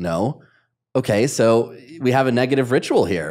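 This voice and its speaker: With ordinary pitch variation, the man's voice stands out over a quiet background. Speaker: podcast host and coach; podcast host, coach. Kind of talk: podcast interview. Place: studio. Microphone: studio mic.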